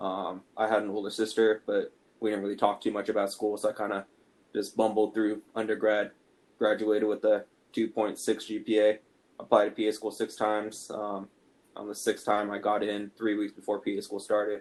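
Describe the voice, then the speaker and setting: With monotone, flat intonation, a man speaks at a fairly quick pace in a fairly low voice. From Ireland and San Diego. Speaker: physician assistant student, podcast co-host. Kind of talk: casual podcast chat.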